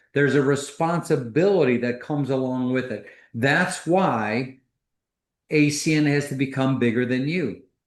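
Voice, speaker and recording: Speaking with an American accent at medium pitch, a man keeps a moderate pace and ordinary pitch variation in audible room echo. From US Midwest, Detroit. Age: 60s. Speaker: business executive, co-founder. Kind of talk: video call interview on leadership.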